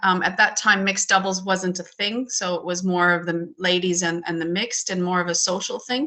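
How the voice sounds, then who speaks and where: A woman's plain, everyday voice with a Canadian accent, medium pitch, fairly even intonation and a moderate pace. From Canada, small town in Alberta. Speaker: curling federation president. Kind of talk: panel discussion. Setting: video call.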